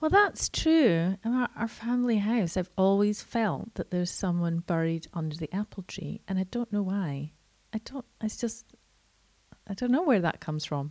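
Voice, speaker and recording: A woman's medium-pitched voice with a Scottish accent, lively intonation and a moderate pace, in a dry, close sound with no echo. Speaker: podcast host. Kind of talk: casual chat.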